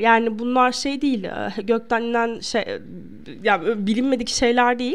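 At a moderate pace, a woman with a high pitch speaks on a very clean recording with a silent background. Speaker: podcast host giving relationship advice. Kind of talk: casual advice monologue.

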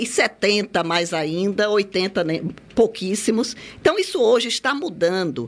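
An ordinary speaking voice at a fairly slow pace. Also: woman. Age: 60s. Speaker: lawyer and senior-care network founder. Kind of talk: radio interview.

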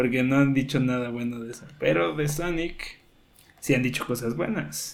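Over noticeable background noise, a man of medium pitch speaks in a Mexican accent at a moderate pace, with lively intonation and big swings in loudness. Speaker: video game podcast host. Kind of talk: casual chat.

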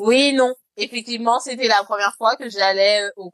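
A fairly slow pace with ordinary pitch variation, in a dry, close sound with no echo. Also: woman. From France, Lyon. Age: late 20s. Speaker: podcaster and corporate lawyer. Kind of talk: casual interview chat.

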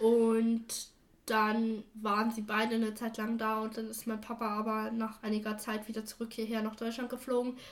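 A woman's fairly high voice in a monotone, flat intonation at a moderate pace. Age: 20s. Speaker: adoptee sharing her story. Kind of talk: interview.

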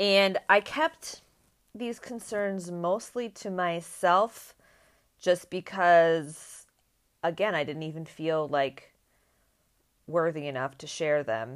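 A woman talks very slowly with lively intonation and a fairly low pitch. Her loudness swings widely, and her pauses are long and frequent. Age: 30s. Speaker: podcast host. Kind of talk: personal essay monologue. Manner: casual with frequent fillers.

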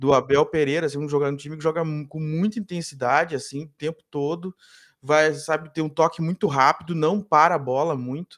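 Fairly quick and fairly high in pitch, a man talks with an ordinary speaking voice and fairly even intonation. His loudness swings widely. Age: 30s. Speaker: sports journalist. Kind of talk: casual sports debate. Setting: live online show.

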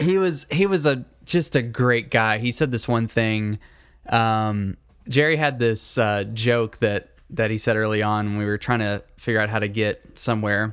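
The recording is very clean, with a silent background. A man of medium pitch talks at a moderate pace with ordinary pitch variation. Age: 20s. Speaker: podcast co-host. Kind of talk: casual chat.

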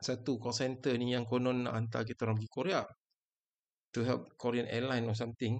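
A man at a medium pitch and moderate pace, with a plain, everyday voice. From Sarawak, Malaysia. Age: 40s. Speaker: podcast host. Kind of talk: casual monologue.

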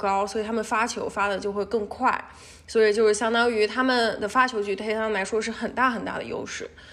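Using a plain, everyday voice, a woman speaks at a moderate pace and fairly high pitch with fairly even intonation. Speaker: PhD student and tennis fan. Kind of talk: casual chat.

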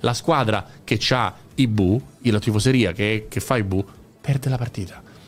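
With music playing in the background, a man speaks in an animated tone at a fairly low pitch. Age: 40s. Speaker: football podcaster. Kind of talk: casual chat.

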